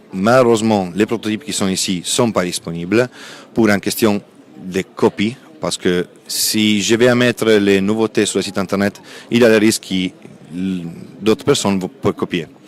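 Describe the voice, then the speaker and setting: In an Italian accent, a man speaks at a moderate pace and fairly low pitch, with fairly even intonation and long, frequent pauses, the sound dry and close with no echo. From Italy. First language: Italian (speaking French). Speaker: textile company sales representative. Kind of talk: interview at a trade fair. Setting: trade fair stand.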